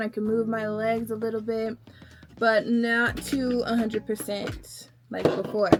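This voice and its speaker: Noticeable background noise surrounds a woman with an American accent and a fairly high pitch. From Texas, Houston. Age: 20s. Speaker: podcaster. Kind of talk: casual chat. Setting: at home getting ready on camera. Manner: casual, hesitant with fillers.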